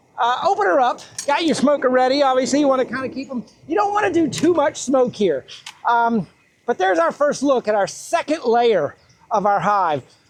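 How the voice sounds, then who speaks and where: There is noticeable background noise as a man speaks at a fairly quick pace with an extremely high pitch and very wide pitch swings. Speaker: beekeeper. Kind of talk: tutorial. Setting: outdoors. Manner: fast.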